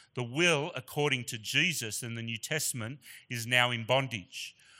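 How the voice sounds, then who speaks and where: A man in an Australian accent speaks at a medium pitch with a bright, sharp tone on a very clean recording with a silent background. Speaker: guest preacher. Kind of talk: sermon. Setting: church.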